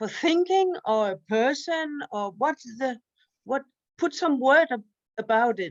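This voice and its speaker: A woman with a non-native accent, high-pitched, at a fairly slow pace with very wide pitch swings, in a dry, close sound with no echo. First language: Danish. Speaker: study group participant. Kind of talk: text study discussion. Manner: halting, searching for words.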